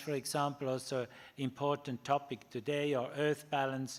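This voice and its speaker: In a German accent, a man talks with a fairly high pitch. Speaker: ethics professor. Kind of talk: lecture. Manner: halting, many fillers.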